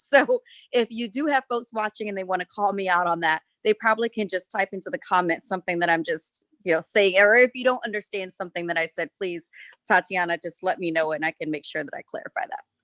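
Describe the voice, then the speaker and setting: A woman's medium-pitched voice with a Southern US accent, an animated tone and lively intonation at a very fast pace, dry and close with no echo. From US South, South Carolina. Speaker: winery owner. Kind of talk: casual chat.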